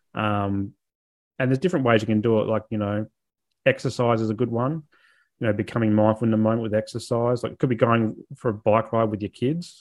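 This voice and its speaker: Quick-paced speech from a man with an Australian accent, at medium pitch. His intonation is fairly even and the background is quiet. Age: 30s. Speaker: mental health advocate and social worker. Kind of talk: interview.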